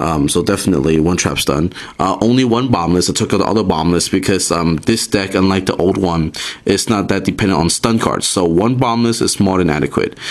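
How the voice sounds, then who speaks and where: A man's very deep, low voice at a fairly quick pace, very even in loudness, with ordinary pitch variation and noticeable background noise. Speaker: card game YouTuber. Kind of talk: tutorial. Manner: casual, many fillers; fast.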